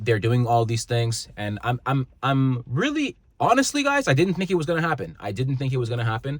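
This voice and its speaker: Somewhat breathy and animated, a man speaks at a medium pitch with a Canadian accent. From Canada. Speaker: motivational vlogger. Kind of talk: casual vlog monologue. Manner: animated, stumbling over words.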